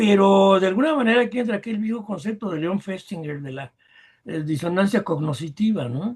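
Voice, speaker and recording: A high-pitched man at a fairly quick pace with lively intonation. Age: 80s+. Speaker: rock keyboardist and teacher. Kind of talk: podcast interview.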